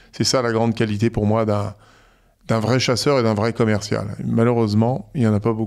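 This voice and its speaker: A man's medium-pitched voice, fairly even in intonation and very even in loudness, at a moderate pace on a very clean recording with a silent background. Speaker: entrepreneur. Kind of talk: interview. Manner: hesitant, repeats words.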